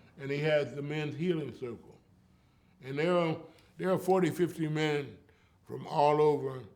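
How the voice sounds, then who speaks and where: Heard with audible room echo, a man speaks at a moderate pace and fairly high pitch, with fairly even intonation and long, frequent pauses. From US West Coast, East Oakland, California. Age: 80s+. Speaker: storyteller and community elder. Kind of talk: interview.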